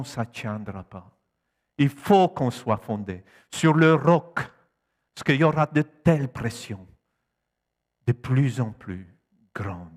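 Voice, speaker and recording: Speaking with a Polish accent at a medium pitch, a man moves at a very slow pace with long, frequent pauses, lively intonation and big swings in loudness. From Poland. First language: Polish (speaking French). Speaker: preacher. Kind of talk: sermon. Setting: church.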